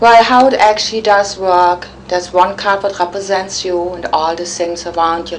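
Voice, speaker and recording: A woman with a German accent talks at a moderate pace and fairly low pitch with fairly even intonation, with noticeable background noise and audible room echo. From Germany, Cologne. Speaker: psychic. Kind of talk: interview.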